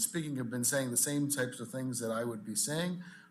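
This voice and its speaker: A man at medium pitch with ordinary pitch variation and a fairly quick pace, plus audible room echo. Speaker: industry association president. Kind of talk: public comment at meeting. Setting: public commission meeting.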